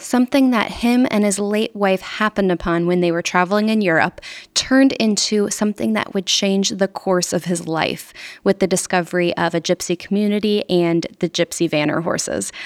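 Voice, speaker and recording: A woman with an ordinary speaking voice talks at a medium pitch and moderate pace, with ordinary pitch variation and very even loudness, in a dry, close sound with no echo. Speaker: podcast host. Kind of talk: scripted intro and casual interview.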